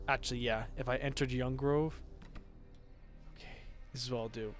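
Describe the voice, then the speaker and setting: With a monotone, flat intonation, a man at medium pitch talks at a fairly quick pace amid audible room echo. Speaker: gaming streamer. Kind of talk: live gameplay commentary.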